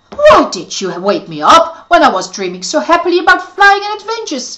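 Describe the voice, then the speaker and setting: A woman puts on a character voice at an extremely high pitch. Her tone is cheerful and her pace fairly quick. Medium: read story. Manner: cheerful, boastful.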